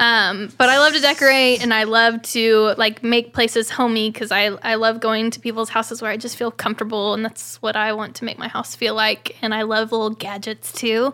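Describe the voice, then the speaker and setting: A woman with an American accent, fairly high pitch and a bright, sharp tone, her intonation fairly even, in a very clean recording with a silent background. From Oklahoma. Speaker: country singer. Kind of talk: casual chat.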